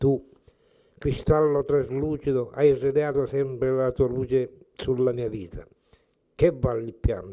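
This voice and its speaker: Against a quiet background, a man speaks at a fairly slow pace in a dark, mellow tone, with fairly even intonation and long, frequent pauses. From Sicily (Collesano, Palermo province); Sicily. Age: 80s+. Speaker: poet, retired teacher. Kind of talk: poetry reading. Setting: at the guest's home. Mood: calm, reflective, tender. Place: kitchen. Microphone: handheld.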